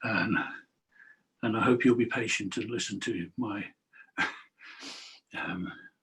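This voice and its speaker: A man with an English accent, fairly slow, with long, frequent pauses. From England. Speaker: author and spiritual teacher. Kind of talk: talk.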